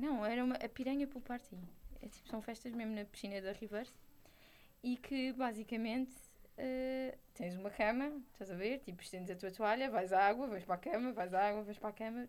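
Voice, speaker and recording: A woman with an unremarkable speaking voice talks at a fairly quick pace and a fairly high pitch, with ordinary pitch variation. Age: 20s. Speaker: podcast co-host. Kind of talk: casual chat.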